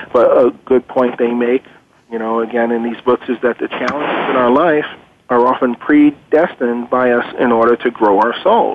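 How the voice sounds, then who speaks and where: Over noticeable background noise, a man speaks at a moderate pace in a medium pitch with fairly even intonation. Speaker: guest expert on reincarnation. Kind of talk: conversational interview, explaining research. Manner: hesitant, filler-laden, earnest.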